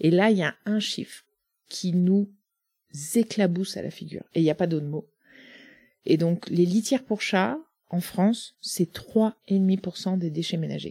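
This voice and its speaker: Somewhat breathy and dark, mellow in tone, a woman at a medium pitch speaks at a fairly slow pace with long, frequent pauses, in a very clean recording with a silent background and a dry, close sound with no echo. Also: ordinary pitch variation. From Brittany, Côtes d'Armor. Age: 40s. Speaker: startup founder. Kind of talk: interview.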